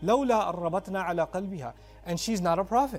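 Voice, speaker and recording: A man with a high pitch talks at a moderate pace while music plays in the background. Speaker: Islamic lecturer. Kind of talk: religious sermon / lecture.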